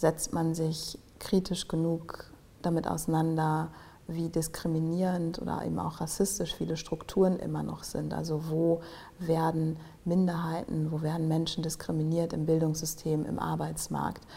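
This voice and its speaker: A woman speaks at a very deep, low pitch with a dark, mellow tone. Her voice is somewhat breathy and her intonation monotone and flat. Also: moderate pace. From Germany. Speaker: tech policy manager. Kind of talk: podcast interview.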